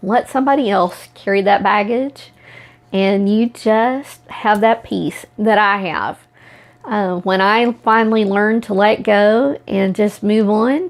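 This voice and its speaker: Speaking at a very slow pace, a woman uses a fairly high pitch and fairly even intonation. She has an American accent. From Oklahoma. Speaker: self-empowerment coach, video blogger. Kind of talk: personal talk to camera.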